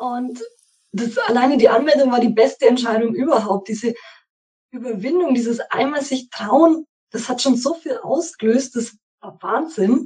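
A woman speaks at a moderate pace in a high pitch with a dark, mellow tone. Her pitch varies in an ordinary way while her loudness swings widely. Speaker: course participant. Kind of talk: interview.

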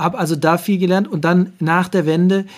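A man is speaking. His intonation is fairly even. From eastern Germany (Saxony-Anhalt, Harz). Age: 40s. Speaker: sports official, communications director. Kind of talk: interview. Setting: remote call. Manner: hesitant with filler sounds.

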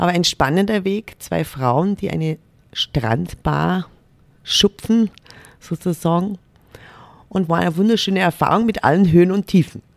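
The speech moves at a fairly slow pace with long, frequent pauses and ordinary pitch variation. The sound is dry and close, with no echo. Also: woman, fairly low pitch for a woman. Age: 40s. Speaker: corporate diversity manager. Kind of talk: interview.

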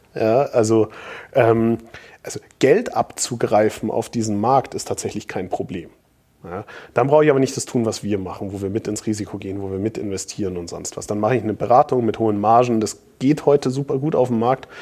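Dark, mellow tone from a man, recorded very cleanly against a silent background. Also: medium pitch for a man, ordinary pitch variation, fairly quick pace. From Bavaria, Munich. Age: 30s. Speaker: entrepreneur and author. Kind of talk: interview.

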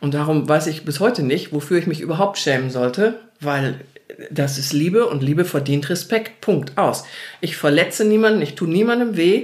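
Over noticeable background noise, a woman with a very deep, low pitch speaks at a moderate pace in an animated tone. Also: lively intonation. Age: 60s. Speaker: interviewee sharing coming-out story. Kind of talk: casual interview conversation.

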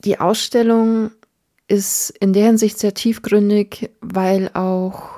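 This woman speaks at a medium pitch with a dark, mellow tone and monotone, flat intonation. The sound is dry and close, with no echo. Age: 30s. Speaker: podcast host. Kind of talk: solo monologue podcast.

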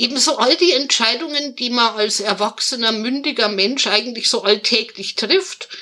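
Her voice sits high for a woman and shows ordinary pitch variation. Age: 30s. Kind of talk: interview. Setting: video call.

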